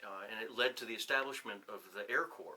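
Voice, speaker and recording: Noticeable background noise runs under a man talking at a fairly quick clip. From New Hampshire. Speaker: retired officer and professor. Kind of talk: casual interview. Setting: on-camera 360 video interview.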